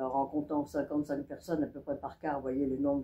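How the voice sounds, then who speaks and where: Very deep, low pitch from a woman, dark and mellow in tone. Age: 70s. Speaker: local resident giving testimony. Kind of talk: testimony. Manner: halting.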